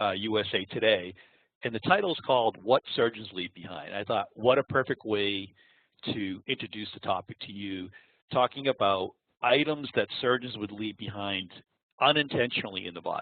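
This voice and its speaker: A man speaks with an American accent at a moderate pace. His pitch is fairly low, with ordinary variation and big swings in loudness. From Boston area, US. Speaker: applications engineer. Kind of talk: webinar presentation. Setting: online webinar. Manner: halting, with many fillers.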